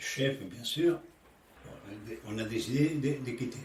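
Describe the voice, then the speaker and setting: A man talks with ordinary pitch variation, moving at a very slow pace. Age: 80s+. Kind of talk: interview answer. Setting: home interview with background noise. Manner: hesitant, halting.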